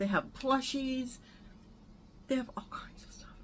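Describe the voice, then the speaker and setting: A loud woman at a moderate pace. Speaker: vlogger. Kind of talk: casual chat. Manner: animated.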